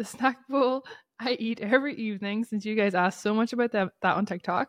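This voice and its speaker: The speaker moves at a fairly quick pace in an animated tone. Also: woman. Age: 30s. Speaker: podcast host. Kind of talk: casual solo monologue. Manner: animated, laughing often.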